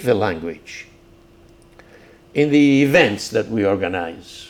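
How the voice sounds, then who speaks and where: Speaking at a very slow pace in a Greek accent, a man moves through very wide pitch swings. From Crete, Greece. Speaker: civil engineer and community leader. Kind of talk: oral history interview. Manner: halting, repeats words.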